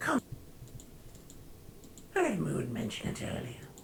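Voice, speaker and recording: At a moderate pace, someone performs a put-on character voice over clear background noise. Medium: game stream. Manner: smooth, calm, persuasive.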